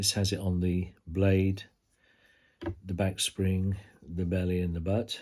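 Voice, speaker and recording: A man with a British accent, very deep and low-pitched, on a very clean recording with a silent background. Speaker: knife reviewer. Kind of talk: product review. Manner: halting.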